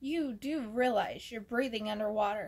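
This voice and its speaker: A woman's put-on character voice at a fairly high pitch. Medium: read story. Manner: friendly, encouraging.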